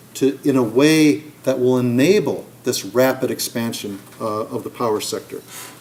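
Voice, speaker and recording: Against noticeable background noise, a man talks at a medium pitch with ordinary pitch variation. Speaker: climate policy researcher. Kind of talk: lecture. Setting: seminar room with audience, also streamed online. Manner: fast; halting, with fillers and repeats.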